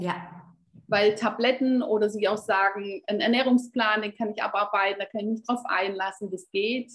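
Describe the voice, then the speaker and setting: A woman talks in an unremarkable speaking voice with a fairly high pitch. She keeps a moderate pace and fairly even intonation. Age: 50s. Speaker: health coach. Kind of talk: interview.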